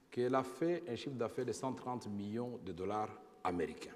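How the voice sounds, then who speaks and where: A man speaks at a moderate pace with a medium pitch. There is audible echo in the room. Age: 50s. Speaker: former politician, witness. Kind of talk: testimony before tribunal. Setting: tribunal hearing.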